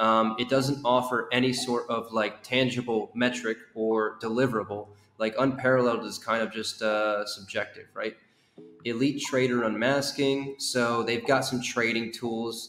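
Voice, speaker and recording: Music plays in the background as a man speaks at a moderate pace. His delivery is monotone and flat, with audible room echo. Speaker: co-host reviewing a project. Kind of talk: casual commentary. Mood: wry, amused. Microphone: headset.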